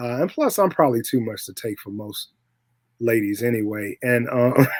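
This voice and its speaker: A man speaks in an ordinary speaking voice at a moderate pace, his medium pitch showing ordinary variation while his loudness swings widely. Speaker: podcast host discussing films. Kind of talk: casual chat.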